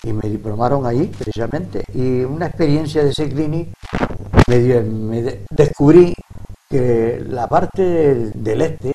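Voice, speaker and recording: Against noticeable background noise, a man talks fairly slowly at a medium pitch with ordinary pitch variation. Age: 70s. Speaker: retired PE teacher and handball coach. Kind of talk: TV interview. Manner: halting.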